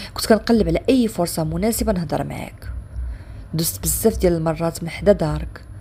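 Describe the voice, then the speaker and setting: A woman speaks at a fairly quick pace with big swings in loudness amid noticeable background noise. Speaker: storyteller. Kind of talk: first-person dramatic story narration.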